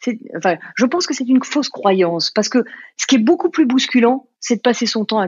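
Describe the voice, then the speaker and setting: Speaking at a fairly quick pace, a woman lets her pitch swing very widely. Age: 50s. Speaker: life coach and author. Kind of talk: interview. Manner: halting, many fillers.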